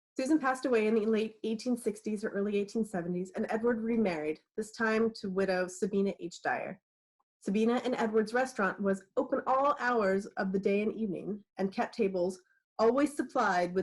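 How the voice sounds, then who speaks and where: A woman with an American accent and an unremarkable speaking voice talks at a fairly quick pace, her fairly high pitch showing ordinary variation. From California, Napa. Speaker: author and librarian. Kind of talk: reading aloud. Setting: video call.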